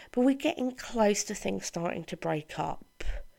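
Speaking with a British accent, a woman has a dark, mellow tone. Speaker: podcast host and author. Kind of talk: casual chat. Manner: animated.

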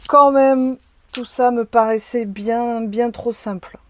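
Very slowly, a woman speaks in a dry, close recording with no echo, very clean and with a silent background. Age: 40s. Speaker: psychedelic experience witness. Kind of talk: testimony. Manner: hesitant, many filler sounds.

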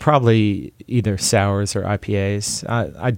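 An unremarkable speaking voice. The intonation stays fairly even. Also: man. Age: 40s. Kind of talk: interview. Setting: studio.

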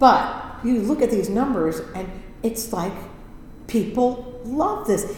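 A woman speaks at a very slow pace with long, frequent pauses, her pitch fairly high with ordinary variation. Noticeable background noise and audible room echo surround her. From US Midwest, Indiana. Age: 60s. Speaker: Broadway ensemble performer. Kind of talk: casual interview chat. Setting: recording studio.

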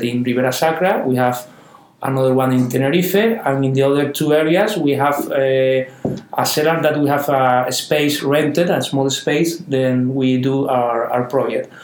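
Through noticeable background noise, a man with a Canary Islands accent speaks at a fairly high pitch and moderate pace, with ordinary pitch variation and very even loudness. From Canary Islands, Spain. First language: Spanish. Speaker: winemaker. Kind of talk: interview. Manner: halting, repeats words.

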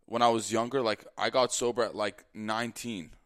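Dry and close with no echo, this fairly quick speech comes on a very clean recording with a silent background, an ordinary speaking voice. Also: man. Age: 20s. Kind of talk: testimony. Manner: casual, lots of filler like.

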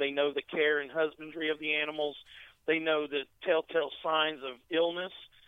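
A man with an American accent uses an ordinary speaking voice, fairly high in pitch, at a moderate pace. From North Carolina, after early childhood in England. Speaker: reptile wholesale manager. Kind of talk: casual interview. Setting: phone call.

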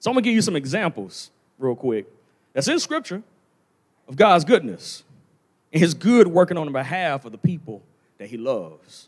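Vocal fry runs through speech at a moderate pace with very wide pitch swings and long, frequent pauses. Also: man, fairly high pitch for a man. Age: 30s. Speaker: preacher. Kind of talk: sermon. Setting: church sanctuary.

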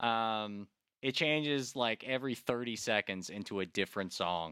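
With a dry, close sound and no echo, a man speaks at a moderate pace and medium pitch in a bright, sharp tone with ordinary pitch variation. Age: 30s. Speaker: music podcast host. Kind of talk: casual chat. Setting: remote recording.

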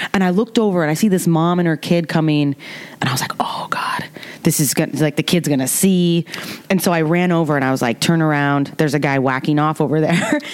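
Noticeable background noise runs through the clip. The speech comes at a very fast pace. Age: 30s. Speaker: screenwriter. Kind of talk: casual chat.

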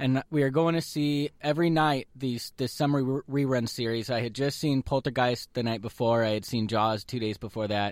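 In a very clean recording with a silent background, a man talks at a moderate pace with medium pitch, ordinary pitch variation and a plain, everyday voice. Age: 30s. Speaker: radio host. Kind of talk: casual chat.

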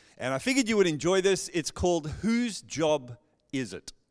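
The speaker has a South African accent and a moderate pace. The recording is very clean, with a silent background. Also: man. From South Africa, Johannesburg. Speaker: pastor. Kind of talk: sermon. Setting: church. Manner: warm, personable.

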